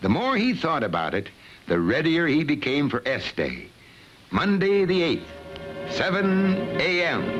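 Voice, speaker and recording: A man speaks with very even loudness. Music plays in the background. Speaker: voice actor. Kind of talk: educational film narration.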